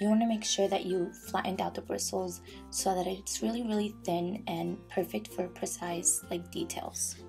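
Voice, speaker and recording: A woman speaks at a moderate pace with hardly any pauses while music plays in the background. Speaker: beauty vlogger. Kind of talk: makeup tutorial voiceover. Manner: whispered.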